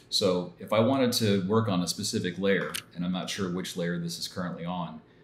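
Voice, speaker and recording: Amid light background noise and audible room echo, a man with a very deep, low pitch speaks at a moderate pace with ordinary pitch variation. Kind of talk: tutorial.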